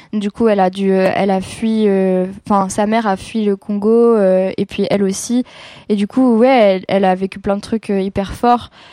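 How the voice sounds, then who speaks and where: A woman speaks with a dark, mellow tone, monotone, flat intonation and very even loudness. The sound is dry and close, with no echo. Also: medium pitch for a woman, fairly slow pace. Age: 20s. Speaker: singer and guitarist. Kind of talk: casual chat.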